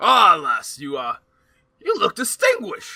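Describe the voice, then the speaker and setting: A man puts on a raspy character voice. His pitch is extremely high. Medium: actual play. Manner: formal, chivalrous.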